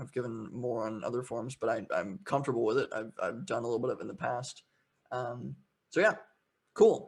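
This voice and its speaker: This man's voice is somewhat breathy. He speaks at a fairly quick pace with ordinary pitch variation. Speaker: entrepreneur and show host giving a talk. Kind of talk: online presentation. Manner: fast; casual, many fillers and repetitions.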